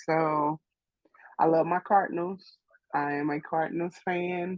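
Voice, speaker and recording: Spoken with a St. Louis accent, the delivery keeps a fairly even intonation. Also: woman. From St. Louis, Missouri. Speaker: graphic artist. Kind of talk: interview. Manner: casual, many fillers.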